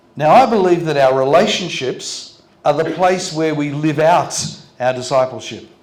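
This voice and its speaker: Through noticeable background noise and audible room echo, a man with an Australian accent speaks at a moderate pace in a fairly high voice, with ordinary pitch variation. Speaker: pastor. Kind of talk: sermon. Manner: short phrases paused for interpreter.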